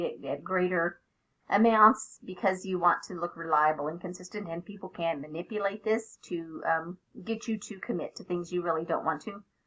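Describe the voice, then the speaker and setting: Her voice is an unremarkable speaking voice at a medium pitch. The woman talks at a fairly quick pace with fairly even intonation. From Oklahoma. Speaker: teacher. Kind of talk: student presentation.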